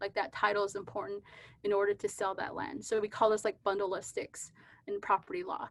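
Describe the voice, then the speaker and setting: A woman with an American accent and an unremarkable speaking voice, medium in pitch with ordinary variation, at a fairly quick pace. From US Southwest, Navajo Nation, New Mexico. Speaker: physician and keynote speaker. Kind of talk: conference lecture. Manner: conversational with frequent fillers.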